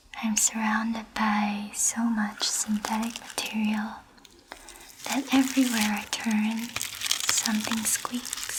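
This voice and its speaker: A fairly high-pitched woman, very slow and monotone, flat in intonation, with noticeable background noise. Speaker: ASMR artist and virtual festival guide. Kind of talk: ASMR reading of literary text.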